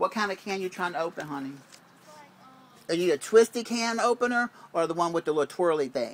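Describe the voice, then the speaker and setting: With long, frequent pauses, a man speaks at a fairly quick pace in a high pitch with lively intonation. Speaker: vlogger confronting former housemate. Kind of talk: casual chat.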